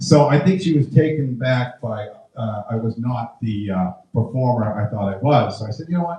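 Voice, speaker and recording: A normal speaking voice, its intonation lively, proceeds at a moderate pace. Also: man, medium pitch for a man. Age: 60s. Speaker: stand-up comedian. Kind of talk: stand-up.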